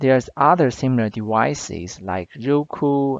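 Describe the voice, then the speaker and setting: A man with a non-native accent, medium pitch and ordinary pitch variation, at a fairly slow pace, in a dry, close sound with no echo against a quiet background. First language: not English. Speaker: product reviewer / tech YouTuber. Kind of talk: tutorial.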